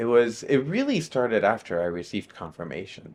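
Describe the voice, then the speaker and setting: Over a quiet background, a man with a Spanish accent talks at a fairly quick pace. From Miami, Florida (part of childhood in Nicaragua). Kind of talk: testimony. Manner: hesitant, many fillers.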